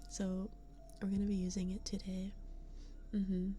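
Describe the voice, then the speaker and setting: Soft-spoken woman's speech, fairly slow and monotone with flat intonation, set over background music. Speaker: VTuber ASMR streamer. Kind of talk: casual livestream talk to chat.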